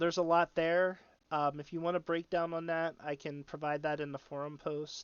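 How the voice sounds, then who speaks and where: A man talks at a moderate pace in a normal speaking voice. His pitch sits fairly high. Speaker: gaming streamer. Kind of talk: tutorial.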